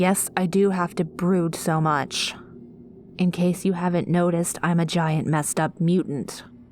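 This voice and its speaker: A woman's gruff, put-on character voice, fairly low in pitch, at a moderate pace over clear background noise. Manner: brooding, gruff.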